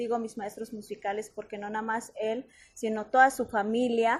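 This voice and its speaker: The pitch of this woman's voice is fairly high. Her pace is moderate. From Mexico, Oaxaca, Mixe community. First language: Mixe (speaking Spanish). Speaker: soprano singer. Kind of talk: interview.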